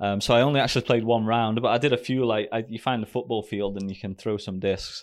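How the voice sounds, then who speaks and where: Very fast speech in a British accent with fairly even intonation, recorded very cleanly against a silent background. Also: man, medium pitch for a man. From Great Britain. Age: 30s. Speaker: professional ski racer. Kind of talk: casual interview.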